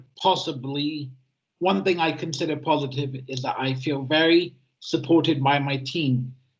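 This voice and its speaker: Using a normal speaking voice, a man speaks at a fairly slow pace, fairly high in pitch, with ordinary pitch variation. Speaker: easy-to-read editor, self-advocate. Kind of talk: prepared talk at a webinar. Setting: online webinar.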